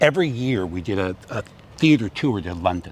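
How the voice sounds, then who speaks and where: A man's fairly low voice with an American accent and lively intonation at a fairly slow pace, against noticeable background noise. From California, US. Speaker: theatre director and acting coach. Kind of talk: interview conversation. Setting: outdoors by a harbour. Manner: loud; animated.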